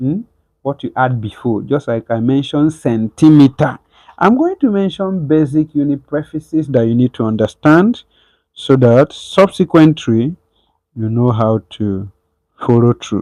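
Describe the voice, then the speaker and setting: Recorded with a dry, close sound and no echo, a man speaks at a moderate pace in a dark, mellow tone with fairly high pitch. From southeastern Nigeria. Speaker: online physics tutor. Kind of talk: live online lesson. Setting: livestream. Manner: casual, with false starts and self-corrections.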